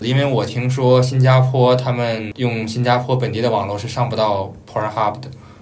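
A man talks at a moderate pace with hardly any pauses, at a medium pitch. His intonation is flat and monotone, with noticeable background noise. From mainland China. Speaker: office worker, former grad student. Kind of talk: casual chat.

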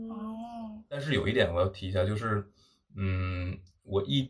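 Speaking at a fairly slow pace, a man uses a normal speaking voice with fairly low pitch. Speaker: podcast co-host, graduate student. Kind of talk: casual chat. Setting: rented flat in Seoul.

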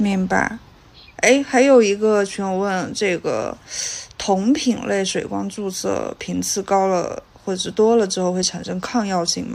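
Soft-spoken and at a medium pitch, a woman talks at a fairly slow pace with ordinary pitch variation. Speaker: podcast co-host. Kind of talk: casual interview.

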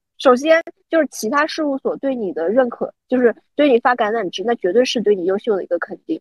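Talking fairly quickly, this woman uses a high voice whose pitch swings very widely. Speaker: UX designer. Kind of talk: casual chat.

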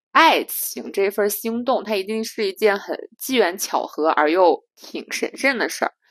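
In a dry, close sound with no echo and a very clean recording with a silent background, a woman speaks at a fairly high pitch in an animated tone. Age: 30s. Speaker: podcast co-host. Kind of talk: casual chat.

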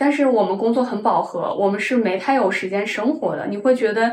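A woman's fairly high, fairly quick voice with ordinary pitch variation and audible room echo. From Shanxi, northern China. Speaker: tech worker, part-time counselor, ex-bartender. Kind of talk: casual interview chat. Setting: in-person recording in Shanghai.

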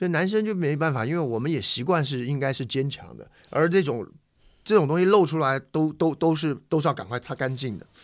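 On a very clean recording with a silent background, a man with a normal speaking voice talks at a fairly quick pace, fairly high in pitch, with lively intonation. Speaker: podcast co-host. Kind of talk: casual chat.

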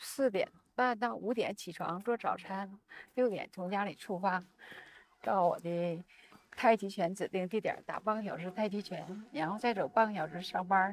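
At a moderate pace, a woman speaks in an unremarkable speaking voice of medium pitch with ordinary pitch variation. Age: 60s. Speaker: doctor. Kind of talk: casual chat. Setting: outdoors, walking.

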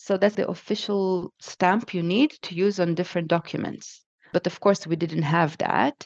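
This woman speaks with an Israeli accent. The sound is dry and close, with no echo. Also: medium pitch for a woman, ordinary pitch variation, moderate pace. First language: Hebrew. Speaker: podcast guest. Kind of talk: casual interview. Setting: remote call.

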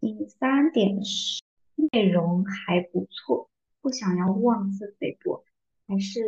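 At a very slow pace, a woman speaks at medium pitch with a dark, mellow tone that is somewhat breathy, the sound dry and close with no echo. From southern China. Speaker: book podcast host. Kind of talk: casual monologue.

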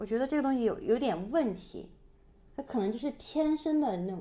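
A woman with a northeastern Chinese accent speaks at a moderate pace in a dark, mellow tone, her pitch swinging very widely. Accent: Mandarin with northeastern Chinese tinge. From Sichuan, China. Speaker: podcast co-host. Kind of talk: casual chat.

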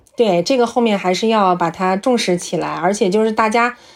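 A woman talks at a moderate pace and medium pitch with ordinary pitch variation. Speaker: journalist. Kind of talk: casual chat. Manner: halting.

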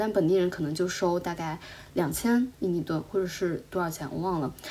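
Against noticeable background noise, a woman with a medium-pitched voice speaks at a moderate pace. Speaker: podcast co-host, traveler. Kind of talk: casual chat.

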